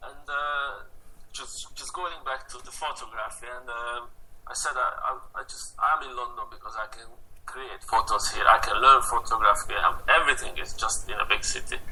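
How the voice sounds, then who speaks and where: Over noticeable background noise, a man speaks at a moderate pace, his loudness swinging widely. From Hungary, rural village. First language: Hungarian. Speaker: photographer. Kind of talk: interview. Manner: halting.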